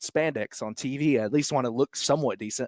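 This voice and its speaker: A man speaks in a normal speaking voice with an American accent, at a fairly high pitch and moderate pace. The recording is very clean with a silent background, dry and close with no echo. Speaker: ring announcer, commentator and interviewer. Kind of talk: interview answer.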